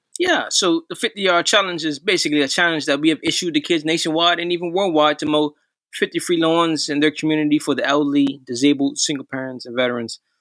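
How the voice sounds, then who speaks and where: A man talks at a very fast pace with hardly any pauses, his fairly high voice carrying fairly even intonation in a dry, close sound with no echo on a very clean recording with a silent background. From Bermuda. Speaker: nonprofit founder. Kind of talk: interview.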